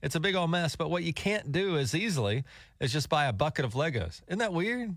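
A man's plain, everyday voice at a moderate pace with lively intonation, in a very clean recording with a silent background. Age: middle-aged. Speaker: radio host. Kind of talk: casual chat. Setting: studio.

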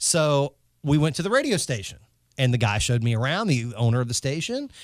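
A man with a Southern US accent talks at a fairly quick pace in a fairly high pitch with lively intonation, on a very clean recording with a silent background. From North Carolina. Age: 30s. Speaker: radio host. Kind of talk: casual chat.

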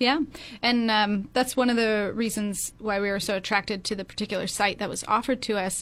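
In a very clean recording with a silent background, a woman with an ordinary speaking voice talks at a fairly quick pace, her fairly high pitch holding a fairly even intonation. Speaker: museum development director. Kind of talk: radio interview. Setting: studio.

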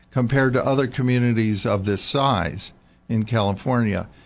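A man with an unremarkable speaking voice talks at a moderate pace, his pitch medium with ordinary variation. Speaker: neurosurgeon. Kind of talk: radio interview and call-in. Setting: radio studio.

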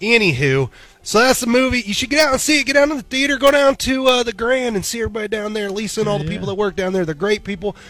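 Over noticeable background noise, a man with an American accent talks at a very fast pace. His pitch is high and his intonation lively. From Missouri. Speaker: morning radio co-host. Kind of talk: casual chat. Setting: studio.

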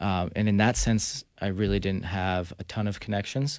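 Speaking in a normal speaking voice with an American accent, a man talks at a fairly slow pace and fairly low pitch with fairly even intonation on a very clean recording with a silent background. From New Jersey. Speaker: professional soccer player. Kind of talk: radio interview. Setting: studio.

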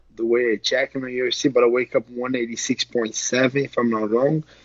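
Speaking at a fairly slow pace, a man talks with a Portuguese accent. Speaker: MMA fighter. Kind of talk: interview.

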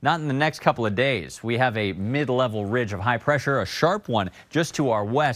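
The man talks at a moderate speed, and the recording is very clean with a silent background. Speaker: chief meteorologist. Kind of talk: TV weather report, conversational live forecast explaining maps and models. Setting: TV studio. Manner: upbeat, chatty and explanatory, mixing folksy asides with technical terms; enthusiastic about the weather, directing viewers to on-screen graphics.

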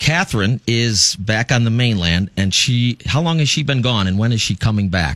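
A man's unremarkable speaking voice at medium pitch and moderate pace, with very even loudness and a dry, close sound with no echo. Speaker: radio host. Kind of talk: casual banter, radio show. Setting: studio.

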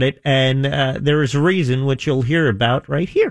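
Here is a normal speaking voice from a man with a fairly high pitch. He talks at a moderate pace. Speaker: radio co-host. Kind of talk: casual banter.

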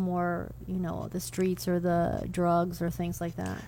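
A woman speaks at a fairly slow pace. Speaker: radio co-host. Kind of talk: radio interview. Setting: radio studio. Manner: enthusiastic.

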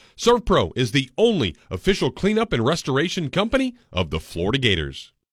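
On a very clean recording with a silent background, a man talks at a fairly quick pace with vocal fry. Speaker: sports radio host. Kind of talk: casual sports talk radio.

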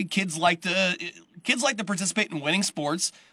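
A man with a high pitch and an American accent talks in a raised, projected voice with lively intonation, the sound dry and close with no echo. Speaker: radio sports host. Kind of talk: interview-style sports radio podcast.

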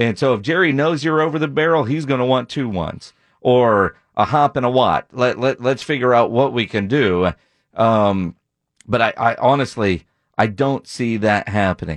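With an unremarkable speaking voice, a man talks at a moderate pace and medium pitch with lively intonation, recorded dry and close with no echo against a quiet background. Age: 40s. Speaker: sports radio host. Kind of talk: sports talk radio.

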